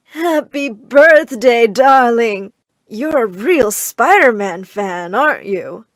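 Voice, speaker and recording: In a cartoonish character voice, a woman speaks very slowly at a high pitch with lively intonation. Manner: warm toward granddaughter.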